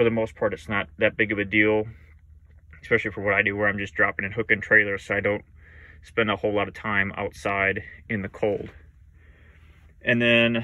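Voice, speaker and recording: The sound is dry, without any echo. A man delivers his words at a moderate pace. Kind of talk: casual show-and-tell vlog. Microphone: phone near.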